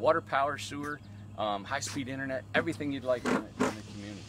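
Over loud background noise, a man speaks with a dry sound and no echo. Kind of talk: casual vlog chat. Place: open country. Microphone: phone near.

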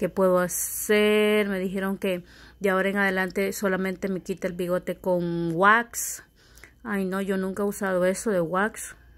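Flat and monotone in intonation, a woman with a medium pitch speaks at a fairly slow pace. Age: 30s. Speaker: vlogger. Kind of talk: casual vlog talking to camera. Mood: annoyed, complaining. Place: home room. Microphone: phone near.

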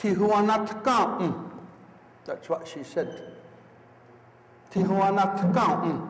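Over noticeable background noise, a high-voiced man talks very slowly, with long, frequent pauses. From Akwesasne, Mohawk Nation. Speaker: Mohawk elder, traditional teacher. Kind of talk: storytelling talk to an audience.

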